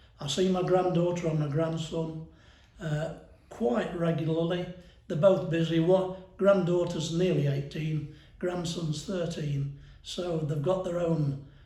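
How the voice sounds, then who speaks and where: This man speaks at a fairly slow pace with a high pitch and monotone, flat intonation, with audible room echo around him. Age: 70s. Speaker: retired power station worker. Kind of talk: interview.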